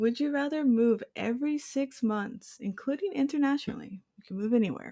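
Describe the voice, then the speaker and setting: A woman with an American accent speaks with a dark, mellow tone and lively intonation. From Houston, Texas. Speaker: podcast host. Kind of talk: casual chat.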